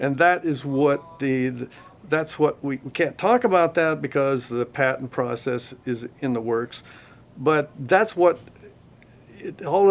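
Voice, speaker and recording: A man with an American accent and an ordinary speaking voice talks at a fairly slow pace with ordinary pitch variation. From US, Oregon. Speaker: audio company marketing director. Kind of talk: interview. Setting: audio store.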